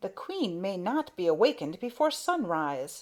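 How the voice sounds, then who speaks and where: A woman's put-on character voice at a medium pitch, with very wide pitch swings and a moderate pace. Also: very clean recording, silent background. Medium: read story. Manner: rough, bossy.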